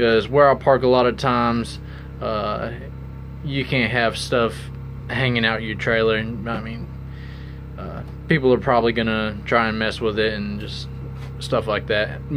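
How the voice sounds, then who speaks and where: A man speaks at a moderate pace with very wide pitch swings and long, frequent pauses while music plays in the background. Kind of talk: casual tutorial walkthrough. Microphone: phone near.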